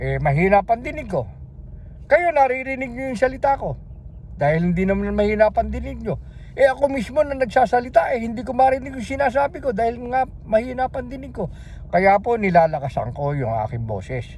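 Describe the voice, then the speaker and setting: Amid noticeable background noise, a man speaks in an animated tone at a fairly quick pace. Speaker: religious video preacher. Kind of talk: sermon. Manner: loud.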